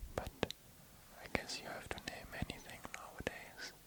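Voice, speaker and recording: A man whispering, with noticeable background noise. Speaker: ASMR artist. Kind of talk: ASMR sleep reading of space facts. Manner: soft-spoken, whispered.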